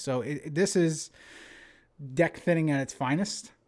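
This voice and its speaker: A man with a fairly high pitch speaks at a moderate pace in a New Jersey accent, recorded very cleanly with a silent background. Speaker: game commentator. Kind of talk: live commentary. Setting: live stream. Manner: casual, filler-heavy.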